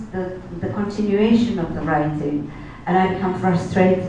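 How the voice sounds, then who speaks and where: With a Czech accent, a woman speaks in a fairly low pitch and ordinary pitch variation, with audible room echo and noticeable background noise. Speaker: novelist. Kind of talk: interview. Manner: halting.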